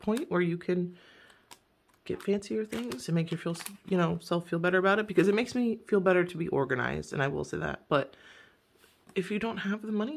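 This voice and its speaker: Her medium pitch touched with vocal fry, a woman speaks at a fairly quick pace with lively intonation. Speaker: budgeting vlogger. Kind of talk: casual vlog tutorial. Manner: rambling, hesitant with fillers.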